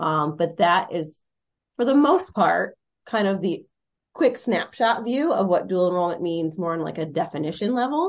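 A woman with an American accent, medium pitch, lively intonation and moderate pace, a normal speaking voice over a quiet background. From Michigan, Monroe County. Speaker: high school counselor. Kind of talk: podcast interview, explanatory.

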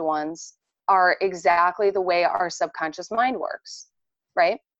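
A woman speaks at a medium pitch with a Midwestern US accent. Her pitch moves in an ordinary way, and her pace is fairly slow. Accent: Midwestern US with sharp vowels. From US Midwest, Indiana near Chicago. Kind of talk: casual interview chat.

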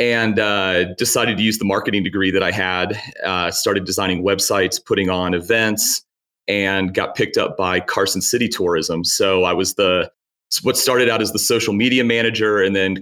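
A man with a slight Virginia accent speaks at a fairly low pitch in a bright, sharp tone. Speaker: tourism director. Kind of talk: casual interview chat.

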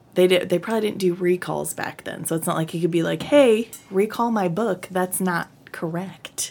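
Noticeable background noise fills the recording. A woman speaks through it at a moderate pace. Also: medium pitch for a woman, ordinary pitch variation. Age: 30s. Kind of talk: casual chat.

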